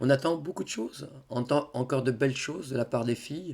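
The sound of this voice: A hoarse put-on character voice from a man, medium in pitch with ordinary pitch variation, at a fairly quick pace.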